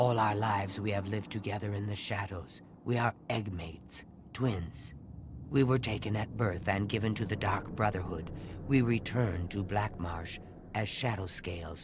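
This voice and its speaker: At a moderate pace, a man puts on a fairly low-pitched character voice against clear background noise. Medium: video game. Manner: solemn, formal.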